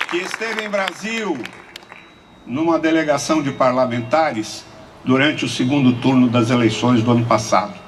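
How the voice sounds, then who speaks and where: A man with a medium pitch speaks with lively intonation. Audible room echo and crowd noise fill the background. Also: moderate pace. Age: 70s. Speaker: lawyer and human rights activist. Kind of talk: conference speech.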